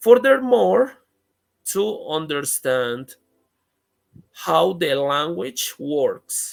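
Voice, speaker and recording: Speaking at a very slow pace with lively intonation, a man with a fairly high pitch talks in a Spanish accent. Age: 30s. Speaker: English teacher. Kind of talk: interview. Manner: halting.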